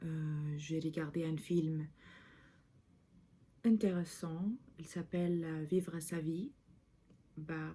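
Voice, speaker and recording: A woman speaks at a very slow pace with long, frequent pauses, in a very deep, low, somewhat breathy voice. Her tone is dark and mellow, her intonation fairly even. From Lebanon. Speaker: video diarist. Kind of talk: vlog monologue. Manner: halting, many hesitations.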